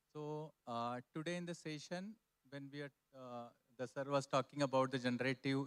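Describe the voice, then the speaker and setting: At a fairly quick pace, a man speaks at medium pitch in a dry, close sound with no echo. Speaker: audience member. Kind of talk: audience comment. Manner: halting.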